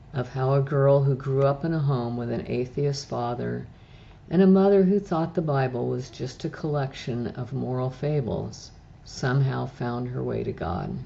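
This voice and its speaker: The speaker keeps a moderate pace with ordinary pitch variation. There's noticeable background noise. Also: woman, very deep, low pitch for a woman. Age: 70s. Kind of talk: personal faith testimony.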